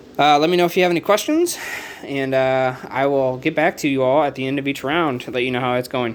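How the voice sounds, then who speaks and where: Very fast delivery with fairly even intonation over noticeable background noise. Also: man, fairly high pitch for a man. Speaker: board game youtuber. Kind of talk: tutorial. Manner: casual, halting with fillers.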